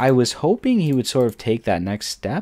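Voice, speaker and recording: A man's voice with a dry, close sound and no echo. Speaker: gaming commentator. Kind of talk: gameplay commentary. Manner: halting.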